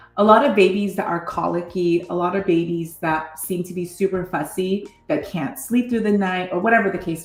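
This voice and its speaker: Noticeable background noise fills the clip. Through it, a woman speaks at a medium pitch. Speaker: mom vlogger. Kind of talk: personal testimony.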